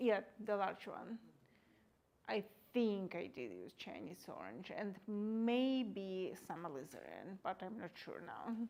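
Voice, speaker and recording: Quiet and very slow, a woman speaks with lively intonation and big swings in loudness. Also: medium pitch for a woman. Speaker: painter giving a live demonstration. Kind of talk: live painting demonstration with audience Q&A. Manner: halting.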